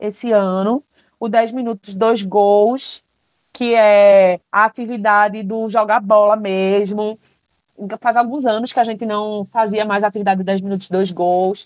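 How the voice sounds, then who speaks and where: A woman with an ordinary speaking voice talks at a fairly slow pace, her fairly high pitch held to fairly even intonation, in a dry, close sound with no echo. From Brazil, Paulista (Pernambuco). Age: 20s. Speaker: architect and community activist. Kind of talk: interview.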